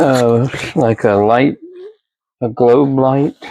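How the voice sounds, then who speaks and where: Going very slowly, a man with a medium-pitched, dark and mellow voice keeps his intonation fairly even. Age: 60s. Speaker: online reseller packing orders. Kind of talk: casual vlog narration while working. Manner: unscripted, halting with fillers.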